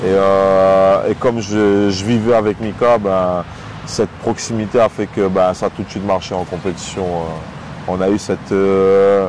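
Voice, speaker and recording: Over noticeable background noise, a man talks at a fairly slow pace and fairly low pitch in a flat monotone. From Réunion. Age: 30s. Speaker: professional MMA fighter. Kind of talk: interview. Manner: hesitant, many fillers.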